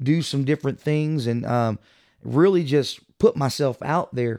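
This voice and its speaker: A man with a Texan accent and a fairly high voice talks at a moderate pace with ordinary pitch variation, in a very clean recording with a silent background. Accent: Texan American English. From small-town Texas. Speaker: church minister. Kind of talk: interview.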